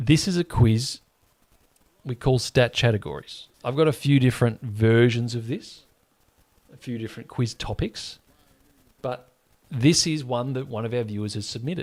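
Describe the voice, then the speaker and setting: A man speaks at a moderate pace in a medium pitch, with ordinary pitch variation and long, frequent pauses. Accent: Australian. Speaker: sports livestream host. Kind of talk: live watch-along chat and quiz hosting. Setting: livestream. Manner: casual, chatty.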